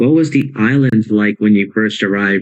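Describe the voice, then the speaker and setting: A man in a put-on character voice, medium in pitch, at a moderate pace. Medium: audio drama.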